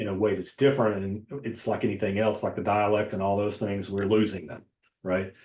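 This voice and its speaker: With a fairly even melody and a fairly quick delivery, this man's voice sits fairly low. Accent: Southern Appalachian. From Western North Carolina, near Asheville. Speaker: novelist and poet. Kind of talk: casual interview conversation.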